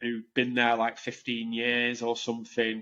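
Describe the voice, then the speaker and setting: Here a man speaks at a medium pitch and a moderate pace. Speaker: tech recruiter, agency director. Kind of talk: podcast interview, casual. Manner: animated.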